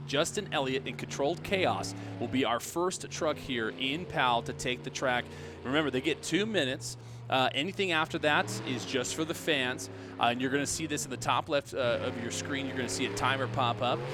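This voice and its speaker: A man at a medium pitch, fairly quick pace and very wide pitch swings, with music in the background. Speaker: monster truck show commentator. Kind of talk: play-by-play sports commentary.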